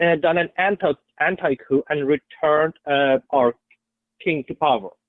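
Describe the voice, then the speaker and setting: In a strong Persian accent, a man speaks at a moderate pace. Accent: thick Persian. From Iran. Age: 20s. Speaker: caller, Trump supporter. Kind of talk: heated debate. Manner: halting.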